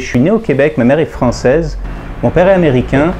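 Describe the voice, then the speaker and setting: A man talks at a fairly quick pace in a fairly high pitch, with noticeable background noise. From Quebec, Montreal. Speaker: comic book artist. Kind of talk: testimony.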